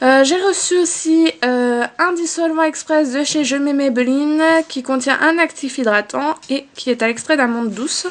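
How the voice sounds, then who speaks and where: At a fairly slow pace, a woman speaks in a high pitch with ordinary pitch variation. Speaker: beauty vlogger. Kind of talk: casual product haul vlog. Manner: hesitant with many fillers.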